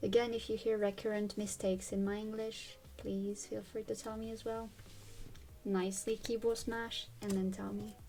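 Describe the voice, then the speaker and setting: A woman with a French accent speaks quietly in a flat monotone. Her pace is moderate. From France. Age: 20s. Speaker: YouTuber. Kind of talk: tutorial. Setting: at home. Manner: casual.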